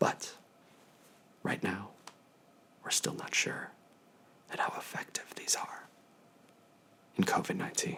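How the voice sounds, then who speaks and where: Whispering, a man speaks at a fairly slow pace in a calm, gentle tone, leaving long, frequent pauses. Noticeable background noise runs underneath. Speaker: infectious disease physician. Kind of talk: ASMR telehealth consultation, educational. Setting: video telehealth call. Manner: calm, gentle, soft-spoken.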